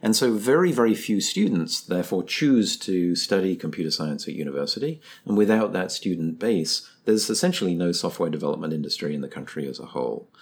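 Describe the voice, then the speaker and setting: Over a very clean recording with a silent background, a man speaks very fast at a very deep, low pitch, with lively intonation and hardly any pauses. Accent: English. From England. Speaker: computer science professor, nonprofit co-founder. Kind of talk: interview. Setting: studio.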